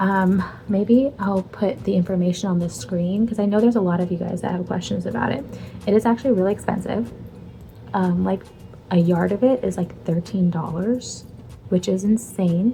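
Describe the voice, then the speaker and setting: Music plays in the background as a woman talks at medium pitch. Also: ordinary pitch variation, moderate pace. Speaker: crafting vlogger and small business owner. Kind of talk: casual vlog. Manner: casual, filler-heavy.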